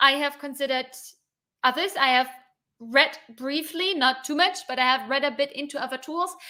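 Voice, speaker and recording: Raised and projected, a woman's voice sits high in pitch with a bright, sharp tone. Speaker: developer advocate, DevOps content creator. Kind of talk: live stream Q&A. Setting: live stream. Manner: fast.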